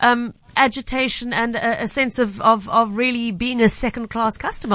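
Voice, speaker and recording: A woman's plain, everyday voice, fairly high in pitch, at a fairly quick pace. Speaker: radio host. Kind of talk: radio talk show. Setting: studio.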